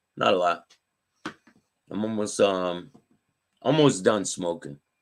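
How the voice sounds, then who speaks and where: Speaking at a moderate pace, the man has a fairly low pitch. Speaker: talk show host, former gang member in recovery. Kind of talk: casual live-stream chat with viewers.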